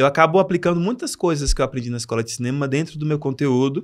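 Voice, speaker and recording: A man talks with lively intonation. The recording is very clean, and the background is silent. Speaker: English teacher and comedic content creator. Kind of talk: podcast interview. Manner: soft-spoken.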